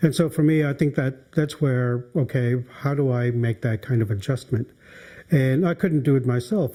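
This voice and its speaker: The voice has a dark, mellow tone, somewhat breathy, with ordinary pitch variation at a moderate pace. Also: man. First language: Maliseet. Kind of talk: documentary interview. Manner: hesitant, many fillers.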